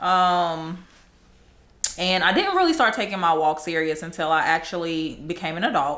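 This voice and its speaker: A woman's fairly low-pitched voice at a moderate pace, with audible room echo. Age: 30s. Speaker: podcast host. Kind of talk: casual chat.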